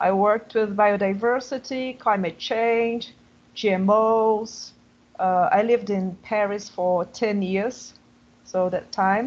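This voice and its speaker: A woman speaks in a Portuguese accent at a very slow pace. Her pitch is fairly high, with fairly even intonation. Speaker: professor of international relations. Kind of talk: panel discussion.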